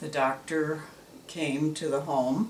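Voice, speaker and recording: Noticeable background noise and audible room echo surround a woman's voice. She speaks at a very slow pace with fairly even intonation. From US Midwest, northern Illinois. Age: 80s+. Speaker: elderly mother telling her life story. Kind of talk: oral history interview. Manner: hesitant, with many fillers.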